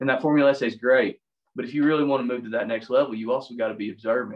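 A man with a Southern US accent talks with fairly even intonation. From US South, Tennessee. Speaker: woodcarver and public school English teacher. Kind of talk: online demonstration talk. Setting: video call. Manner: casual, self-deprecating.

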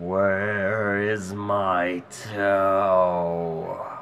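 A man does a put-on character voice, fairly low in pitch and with monotone, flat intonation. Clear background noise runs behind him. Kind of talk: story reading. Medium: read story. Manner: groaning.

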